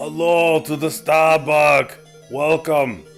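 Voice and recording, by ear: A man's put-on character voice, fairly high in pitch, at a very slow pace over clear background music.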